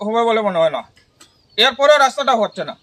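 The man speaks with lively intonation. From Tripura, India (Unakoti district). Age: 40s. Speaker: local resident. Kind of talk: interview testimony. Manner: halting.

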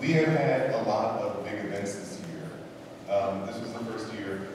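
There is noticeable background noise and strong room echo. A man talks at a fairly low pitch and a moderate pace with ordinary pitch variation. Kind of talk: concert introduction remarks. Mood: warm, a bit emotional. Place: church. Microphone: camera far.

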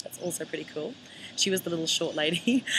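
A woman speaks in an Australian accent at a fairly low pitch with ordinary pitch variation. Light background noise can be heard. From Queensland, Australia. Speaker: country singer. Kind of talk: video message. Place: street. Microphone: webcam.

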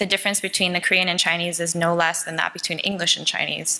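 Talking very fast, a woman uses a fairly low pitch and monotone, flat intonation. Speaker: conference presenter. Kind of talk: lecture. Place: hall. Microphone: podium.

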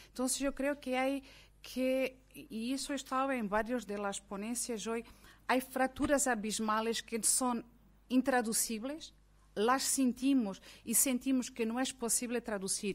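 A woman with a high voice speaks at a fairly slow pace, her intonation fairly even. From Mozambique. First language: Portuguese (speaking Spanish). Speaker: academic; speaker. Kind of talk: panel debate. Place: meeting room. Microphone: podium.

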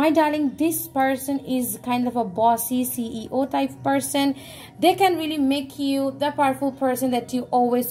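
Through light background noise, a woman speaks at a moderate pace and high pitch with fairly even intonation. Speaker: tarot reader. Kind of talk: tarot reading addressed to viewers.

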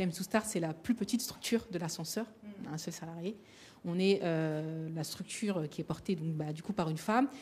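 Somewhat breathy and fairly low-pitched, a woman speaks at a moderate pace. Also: ordinary pitch variation. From Paris suburbs, Seine-Saint-Denis; Paris. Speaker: association founder and moderator; moderator. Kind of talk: roundtable discussion. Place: hall. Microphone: handheld.

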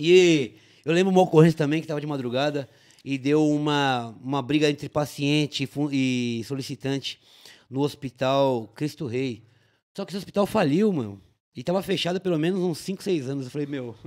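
A man speaks at a moderate pace in a plain, everyday voice, his pitch fairly high with ordinary variation, against a quiet background. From São Paulo city (Tatuapé); São Paulo. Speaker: police officer; podcast guest. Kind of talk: casual chat. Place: studio. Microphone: studio mic.

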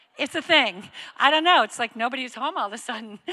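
With a bright, sharp tone, a woman talks at a fairly quick pace against a quiet background. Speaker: church campus director host. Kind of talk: church announcements and welcome. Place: stage. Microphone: handheld.

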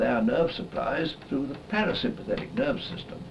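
A man is talking. Noticeable background noise sits behind his voice. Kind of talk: interview answer. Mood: measured, formal, reflective. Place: home room.

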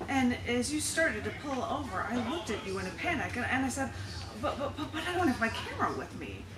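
There is noticeable noise behind the woman who is speaking. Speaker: poet at a public reading. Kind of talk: poetry reading. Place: shop.

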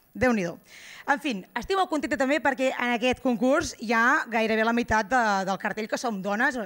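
Against a quiet background, a woman speaks at a fairly high pitch with lively intonation. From Girona, Catalonia; Catalonia. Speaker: stand-up comedian. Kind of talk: stand-up. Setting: stage with live audience. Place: stage. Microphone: handheld.

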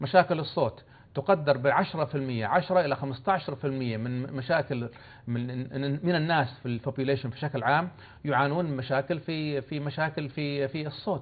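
A man with an unremarkable speaking voice, fairly high in pitch, at a fairly slow pace with ordinary pitch variation. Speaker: professor of phoniatrics. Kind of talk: TV interview. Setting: studio. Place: studio. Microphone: lapel.

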